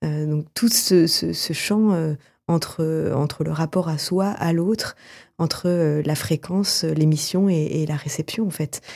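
Very deep and low in pitch, a woman speaks at a very slow pace in a dark, mellow tone with ordinary pitch variation, in a very clean recording with a silent background. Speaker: theatre director and actress. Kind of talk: radio interview. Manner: halting, many fillers.

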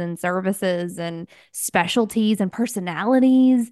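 A woman with a plain, everyday voice speaks at a medium pitch with ordinary pitch variation, recorded dry and close with no echo against a quiet background. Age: 30s. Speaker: podcast host, virtual assistant. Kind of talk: casual chat.

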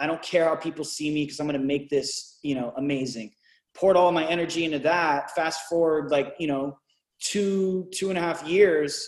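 With an unremarkable speaking voice, a man talks at a moderate pace, his fairly high pitch held in fairly even intonation. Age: 30s. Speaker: musician and rapper. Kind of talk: casual chat.

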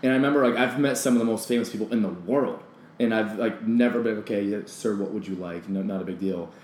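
With an American accent, a man speaks at a very fast pace and medium pitch with ordinary pitch variation, amid audible room echo and noticeable background noise. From US, rural Pennsylvania. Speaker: actor and bartender. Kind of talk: casual chat.

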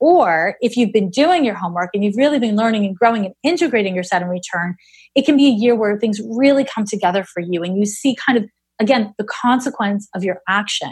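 With a Canadian accent, a somewhat breathy woman speaks at a fairly quick pace, her fairly high pitch carrying lively intonation. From Canada, Montreal. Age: 40s. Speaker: astrologer and psychic medium. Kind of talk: interview conversation.

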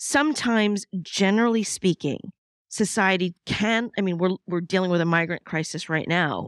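In an unremarkable speaking voice of medium pitch, a woman talks at a moderate pace with lively intonation, recorded very cleanly against a silent background with a dry, close sound and no echo. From New York City. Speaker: podcast host. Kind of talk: interview.

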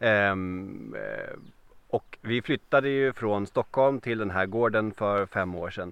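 Very slowly, a man speaks at a fairly low pitch with ordinary pitch variation. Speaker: podcast host. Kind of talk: interview.

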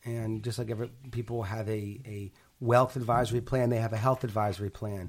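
Somewhat breathy and medium in pitch, a man with an American accent talks at a fairly quick pace in a monotone, flat intonation. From Pittsburgh, Pennsylvania. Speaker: healthcare company CEO. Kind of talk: interview. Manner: hesitant, with frequent fillers.

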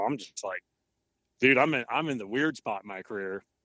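A man talks at a moderate pace with ordinary pitch variation, in an unremarkable speaking voice. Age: 30s. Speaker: professional bass angler. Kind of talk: casual chat.

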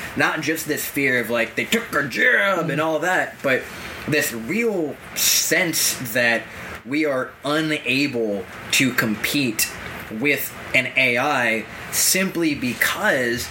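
Over noticeable background noise, the speaker goes at a very slow pace with lively intonation and very even loudness. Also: man, fairly high pitch for a man. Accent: American. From Massachusetts, US. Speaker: podcast co-host. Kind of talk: casual discussion.

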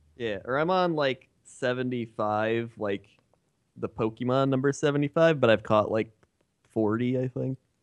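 A man's medium-pitched voice at a very slow pace, with ordinary pitch variation and a dry, close sound with no echo. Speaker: gaming YouTuber. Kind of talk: casual chat.

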